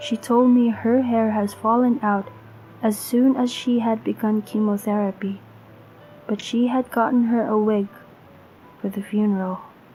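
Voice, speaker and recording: The speaker keeps a moderate pace with long, frequent pauses and monotone, flat intonation. Music plays in the background. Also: woman, fairly high pitch for a woman. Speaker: horror story narrator. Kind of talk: horror story narration.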